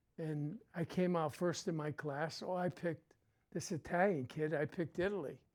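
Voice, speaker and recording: This voice moves at a moderate pace with a New England accent. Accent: New England American. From Connecticut. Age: 80s+. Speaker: Vietnam-era veteran. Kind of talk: interview, life story. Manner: halting, many fillers.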